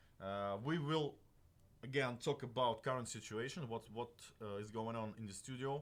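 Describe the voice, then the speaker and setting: Speaking at a moderate pace, a man with a Russian accent has a medium pitch. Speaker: game developer livestream host. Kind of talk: livestream talk. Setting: live stream studio. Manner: halting, many fillers.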